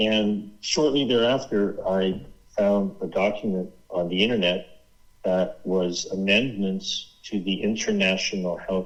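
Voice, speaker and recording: This man has a normal speaking voice, fairly low in pitch, and he talks at a fairly slow pace. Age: 60s. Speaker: author and activist researcher. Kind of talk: interview.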